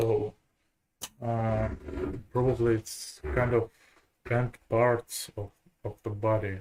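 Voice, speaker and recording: Someone with a Russian accent speaks at a very slow pace, with long, frequent pauses. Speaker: programmer. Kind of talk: live coding tutorial. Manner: halting.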